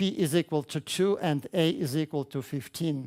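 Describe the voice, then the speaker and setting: A man with a Russian accent and ordinary pitch variation, dry and close with no echo, on a very clean recording with a silent background. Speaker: mathematics education researcher. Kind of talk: conference talk. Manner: halting, many fillers.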